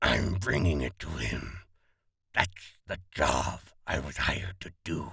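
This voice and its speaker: A man's growling, put-on character voice, very deep and low in pitch, at a fairly slow pace. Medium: read story. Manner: terse, cold.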